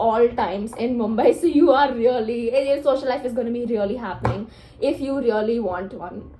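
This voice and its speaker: With audible room echo and noticeable background noise, a woman speaks at a high pitch with ordinary variation at a moderate pace. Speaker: law student vlogger. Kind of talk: casual vlog talk.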